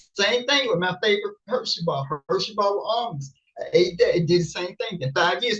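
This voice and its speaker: A woman's voice with vocal fry and lively intonation at a moderate pace. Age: 60s. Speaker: COVID safety advocate and life coach. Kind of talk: casual interview chat. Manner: repetitive, halting with many restarts.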